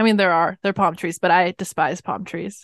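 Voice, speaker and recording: A woman in a Californian accent talks at a moderate pace over a quiet background. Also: dry, close sound with no echo. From Los Angeles, California. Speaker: musician, singer. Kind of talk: casual chat.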